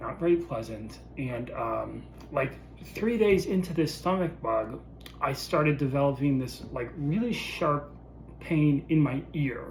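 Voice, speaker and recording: A man's fairly high voice with ordinary pitch variation, fairly slow delivery and audible room echo. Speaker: vlogger sharing illness experience. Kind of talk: personal video diary. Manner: casual, many filler words.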